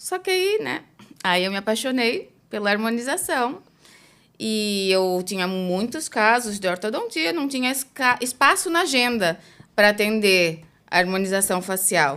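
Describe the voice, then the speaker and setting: In a very clean recording with a silent background, a woman speaks fairly slowly in a fairly high pitch, her bright, sharp tone moving through very wide pitch swings. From Brazil. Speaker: dentist. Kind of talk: interview.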